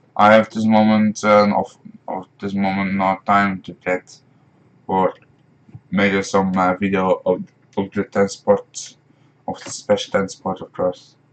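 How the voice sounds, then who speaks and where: A man with a Dutch accent speaks fairly slowly at a fairly low pitch, his intonation flat and monotone. His loudness swings widely, and he leaves long, frequent pauses. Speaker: gaming streamer. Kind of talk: live stream gameplay commentary. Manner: halting, many fillers.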